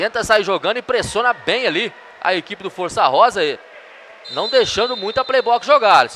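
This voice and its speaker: A man with a high pitch uses a raised, projected voice at a fairly quick pace, with ordinary pitch variation and light background noise. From Brazil. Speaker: futsal play-by-play announcer. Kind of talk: live sports commentary. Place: hall.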